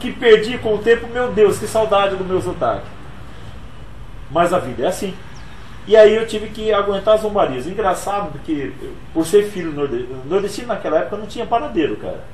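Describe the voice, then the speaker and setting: Amid noticeable background noise and audible room echo, a man with a high pitch speaks at a fairly quick pace with lively intonation, big swings in loudness and long, frequent pauses. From Brazil, Pernambuco (Altinho), moved to São Paulo as child. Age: 40s. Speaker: motivational speaker and author. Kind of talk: interview.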